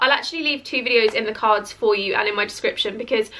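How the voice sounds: The woman's voice has a bright, sharp tone and ordinary pitch variation.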